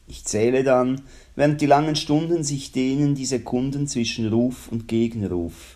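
A man with a Swiss accent speaks at a fairly slow pace in a dark, mellow tone and a medium pitch. His pitch varies in an ordinary way while his loudness swings widely. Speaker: radio host. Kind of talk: reading aloud; radio presenting.

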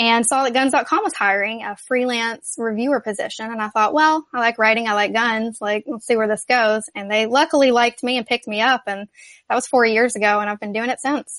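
In an American accent and an unremarkable speaking voice, a woman of fairly high pitch talks at a fairly quick pace with hardly any pauses, recorded dry and close with no echo against a quiet background. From US South. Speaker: gun journalist. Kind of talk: interview.

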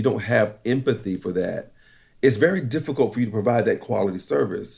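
In a very clean recording with a silent background, a man with an American accent uses a normal speaking voice at a medium pitch, talking at a fairly quick pace with lively intonation. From eastern North Carolina, US South. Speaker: corporate trainer and military veteran. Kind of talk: interview.

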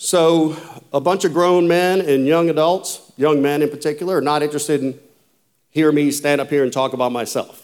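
Talking at a fairly quick pace, a man with a Louisiana accent keeps a fairly high pitch and fairly even intonation. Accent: southern US (Louisiana). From US South, rural south Louisiana. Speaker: former Navy SEAL, conference speaker. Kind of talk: motivational talk to a men's conference.

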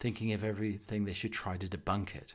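With a British accent, the speaker moves at a fairly quick pace on a very clean recording with a silent background. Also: man. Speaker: podcast host. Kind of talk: casual chat, comedic monologue. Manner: chatty, humorous, rambling.

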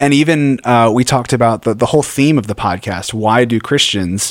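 A man with a plain, everyday voice at medium pitch and a fairly slow pace, on a very clean recording with a silent background. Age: 30s. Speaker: radio host. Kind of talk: casual chat.

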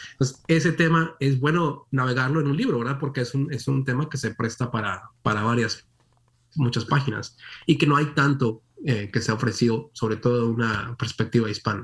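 A somewhat breathy man's voice at a medium pitch and moderate pace, with ordinary pitch variation. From Monterrey, northern Mexico. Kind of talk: interview.

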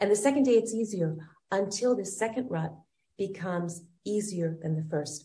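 At a moderate pace, a woman speaks in a medium pitch with ordinary pitch variation, her somewhat breathy voice dark and mellow in tone. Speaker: wellness coach. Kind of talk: interview.

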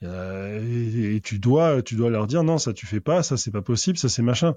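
In a plain, everyday voice, a man talks at a moderate pace and medium pitch. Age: 40s. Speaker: author, freemason. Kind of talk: casual chat.

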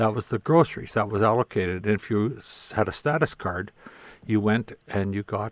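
A man with a Canadian prairie accent talks at a moderate pace in a fairly low voice with ordinary pitch variation. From southern Saskatchewan, Canada. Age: 60s. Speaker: Métis elder and historian. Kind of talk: interview conversation.

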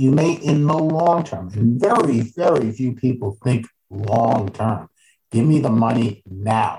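A man with an American accent, dark and mellow in tone, somewhat breathy, at a very slow pace with lively intonation. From New York, Westchester County. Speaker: financial advisor. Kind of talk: interview.

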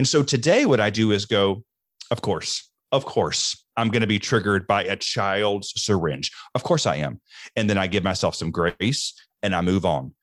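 An animated man with a Southern US accent, fairly low in pitch, at a moderate pace in a very clean recording with a silent background. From US Deep South. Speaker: mental health speaker in addiction recovery. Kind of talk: casual interview.

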